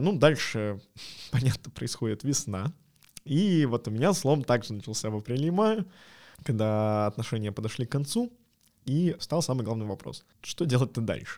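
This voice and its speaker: Speaking at a moderate pace with lively intonation and long, frequent pauses, a man uses a medium pitch in a very clean recording with a silent background. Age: 20s. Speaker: podcast co-host, product designer. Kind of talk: casual chat.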